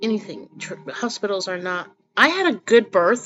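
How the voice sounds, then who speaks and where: Her pitch is fairly high. The woman speaks at a moderate pace. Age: 40s. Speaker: spiritual vlogger. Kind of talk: casual monologue. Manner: halting.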